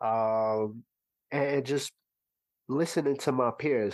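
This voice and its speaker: A man speaks in a New York accent. His pitch is medium, with ordinary variation. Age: 30s. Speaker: music producer. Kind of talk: casual chat.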